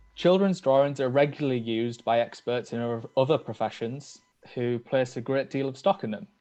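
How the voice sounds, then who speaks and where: In a Teesside accent, a man speaks at a fairly quick pace with a medium pitch and ordinary pitch variation. His tone is dark and mellow, set against a quiet background. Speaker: PhD researcher. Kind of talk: academic seminar talk. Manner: hesitant, many filler ums.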